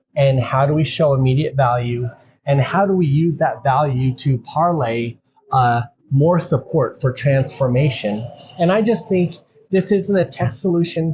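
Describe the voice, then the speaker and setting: A man with an American accent speaks at a moderate pace in an ordinary speaking voice, his pitch fairly high. His pitch variation is ordinary and his loudness stays very even. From United States. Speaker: podcast host, customer experience speaker. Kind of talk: interview conversation.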